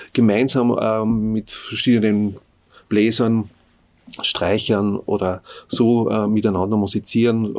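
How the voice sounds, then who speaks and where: Intonation stays monotone and flat throughout. The recording is very clean, with a silent background. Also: man. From Upper Austria, Innviertel. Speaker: folk musician and music teacher. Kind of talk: interview. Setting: studio. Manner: halting, many filler sounds.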